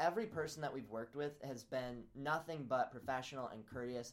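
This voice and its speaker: A man at a very fast pace and fairly high pitch, with hardly any pauses. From US Midwest (Peoria, Illinois). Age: 20s. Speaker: college student and social media entrepreneur. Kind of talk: podcast interview. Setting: professor's office on campus.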